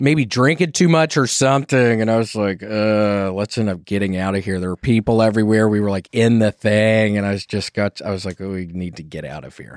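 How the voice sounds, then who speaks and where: A man talks at a fairly quick pace with hardly any pauses in a normal speaking voice, his fairly low pitch carried by a dry, close sound with no echo, big swings in loudness, and a very clean recording with a silent background. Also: ordinary pitch variation. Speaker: comedian and talk show host. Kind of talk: casual chat. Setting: studio.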